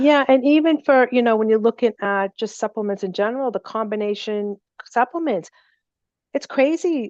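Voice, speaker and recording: This woman talks with a Boston accent and ordinary pitch variation. The sound is dry and close with no echo, over a quiet background. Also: fairly high pitch for a woman, moderate pace. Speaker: natural remedy company representative. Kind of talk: seminar Q&A.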